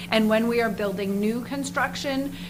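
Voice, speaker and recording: A woman speaks at a fairly high pitch with fairly even intonation. Noticeable background noise and audible room echo surround her voice. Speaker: nonprofit housing representative. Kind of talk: presentation at town board meeting.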